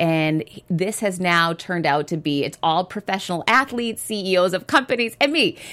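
A woman talks at a moderate pace in a normal speaking voice. Her pitch sits fairly low, and her intonation is lively. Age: 40s. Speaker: author and entrepreneur. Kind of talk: interview.

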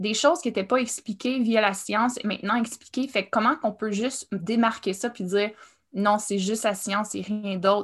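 Her voice is fairly high and somewhat breathy, with ordinary pitch variation at a moderate pace. This woman is heard on a very clean recording with a silent background. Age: 30s. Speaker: writer and artist. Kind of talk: casual chat.

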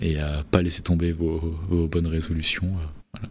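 With a very deep, low pitch, a man speaks in a somewhat breathy voice. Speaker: podcast host. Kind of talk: casual chat. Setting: huge room, under a duvet.

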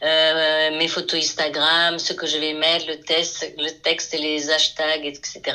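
A woman's fairly low voice with a bright, sharp tone at a very slow pace. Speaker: painter. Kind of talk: interview.

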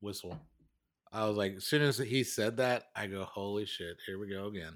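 The recording is very clean, with a silent background. A man with a plain, everyday voice speaks at a moderate pace with fairly even intonation. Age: 40s. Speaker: podcast co-host. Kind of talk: casual chat.

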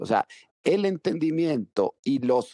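Very slowly, a man talks in a fairly high pitch, the sound dry and close with no echo. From Venezuela (rural Mérida). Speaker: telecom company founder. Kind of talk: interview.

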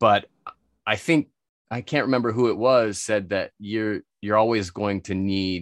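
A man with an American accent and a plain, everyday voice speaks at a moderate pace with ordinary pitch variation, the sound dry and close with no echo against a quiet background. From United States. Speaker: spirits expert and entrepreneur. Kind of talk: casual interview.

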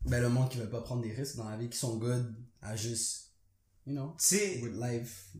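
A man at a medium pitch speaks at a moderate pace in a somewhat breathy, dark, mellow tone, with monotone, flat intonation, long, frequent pauses and audible room echo. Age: 20s. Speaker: podcast co-host. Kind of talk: casual chat.

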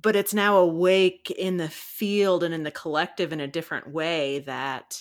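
A woman with an American accent speaks in a normal speaking voice, fairly low in pitch with ordinary variation, recorded very cleanly against a silent background. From US South. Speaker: podcast host. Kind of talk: guided meditation; casual chat.

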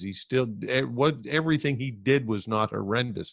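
An unremarkable speaking voice moves at a moderate pace with ordinary pitch variation against a quiet background. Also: man. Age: 50s. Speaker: former talk radio host. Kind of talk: casual interview.

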